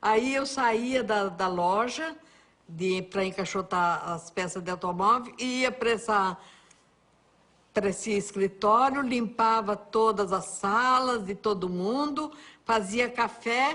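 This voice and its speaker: Speaking at a very slow pace, a woman has a fairly high pitch, ordinary pitch variation and a warm yet bright, sharp tone against a quiet background. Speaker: TV cook and presenter. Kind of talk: interview answer. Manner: warm, chatty.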